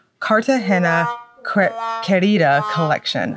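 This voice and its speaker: This woman speaks with a slight Southern US accent, and the sound is dry and close with no echo. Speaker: nail polish reviewer. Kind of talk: product review talk. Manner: casual, chatty.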